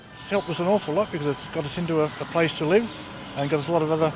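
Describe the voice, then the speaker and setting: A man's pitch is fairly high and varies in an ordinary way. He talks very fast over music in the background. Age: 60s. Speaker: street magazine vendor. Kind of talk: documentary interview. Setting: outdoors in a shopping mall. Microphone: poor sound quality, audio skips.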